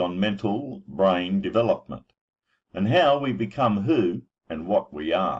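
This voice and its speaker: A man with a fairly low pitch and vocal fry speaks with very wide swings in pitch. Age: 60s. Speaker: website owner and parenting advocate. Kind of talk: personal introduction monologue.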